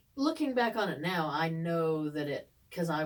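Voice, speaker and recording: Noticeable background noise sits under speech delivered at a moderate pace with lively intonation. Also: woman. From eastern Kentucky, Ashland area. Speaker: podcast co-host. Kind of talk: casual chat.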